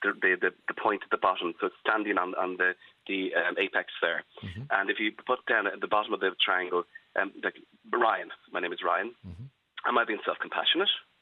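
A man's fairly quick speech in an Irish accent. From Ireland. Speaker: psychologist. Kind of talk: radio interview.

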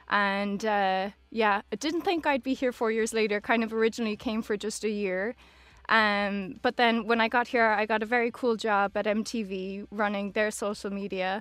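This woman speaks with a western Irish accent. Her pitch is fairly high and her pace moderate. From Ireland, Galway (Oranmore). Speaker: social media manager. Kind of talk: casual chat. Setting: studio.

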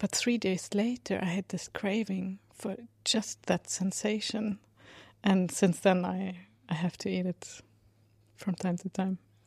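A somewhat breathy, monotone, flat delivery with a Swedish accent at a fairly slow pace, on a very clean recording with a silent background. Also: woman, medium pitch for a woman. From Sweden. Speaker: composer. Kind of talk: casual monologue. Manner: halting.

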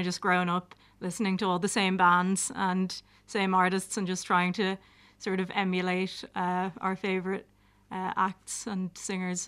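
Against a very clean recording and silent background, a woman at a medium pitch speaks fairly slowly in a monotone, flat intonation. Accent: Dublin. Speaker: drummer in a band. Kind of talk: casual chat interview. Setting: studio.

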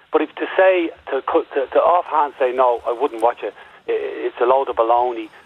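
In an Irish accent, a man speaks at a moderate pace with a fairly high pitch. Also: ordinary pitch variation. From Ireland. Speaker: caller. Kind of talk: phone-in radio discussion. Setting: phone call.

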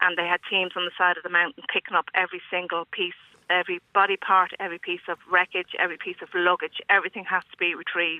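Speaking at a very fast pace with hardly any pauses, a woman delivers her words in a monotone, flat intonation at a fairly low pitch. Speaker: airline finance worker, emergency volunteer. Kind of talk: radio phone-in call. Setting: phone call. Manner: direct, no-nonsense.

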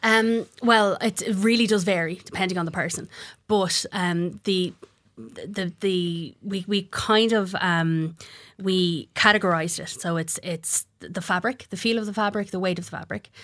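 With an Irish accent, a woman speaks at a medium pitch. Her pace is moderate. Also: fairly even intonation. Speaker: craft business owner. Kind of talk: radio interview. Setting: studio.

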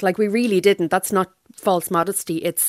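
This woman talks at a fairly quick pace with an Irish accent and a fairly low pitch. Her intonation is fairly even, and the sound is dry and close with no echo. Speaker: novelist. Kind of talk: radio interview.

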